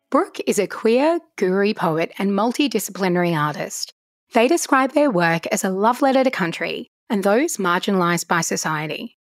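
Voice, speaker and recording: In an Australian accent, a woman speaks at a moderate pace with very wide pitch swings, the sound dry and close with no echo on a very clean recording with a silent background. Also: medium pitch for a woman. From Brisbane, Australia. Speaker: podcast host. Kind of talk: casual interview conversation.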